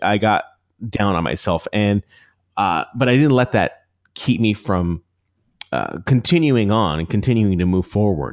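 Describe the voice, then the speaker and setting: In an unremarkable speaking voice, a man with a fairly low pitch and ordinary pitch variation speaks at a moderate pace on a very clean recording with a silent background. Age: 40s. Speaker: podcast coach and former radio broadcaster. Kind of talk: casual interview.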